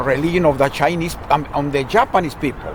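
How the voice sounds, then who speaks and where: Speaking with a Mexican accent at a moderate pace, a man with a fairly high pitch is heard over noticeable background noise. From Mexico, Guadalajara. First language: Spanish. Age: 60s. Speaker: retired social studies teacher. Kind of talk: casual chat. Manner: halting, repetitive.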